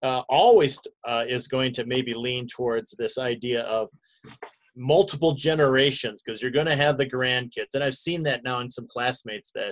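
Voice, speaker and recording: An unremarkable speaking voice from a man, medium in pitch, at a moderate pace with ordinary pitch variation, against a quiet background. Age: 60s. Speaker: pastor. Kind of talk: bible study class. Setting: video call. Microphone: video call.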